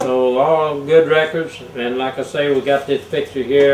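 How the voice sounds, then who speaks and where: Over noticeable background noise, a man with a Texan accent talks at a fairly slow pace in a fairly high pitch. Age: 70s. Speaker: sports show host. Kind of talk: casual interview.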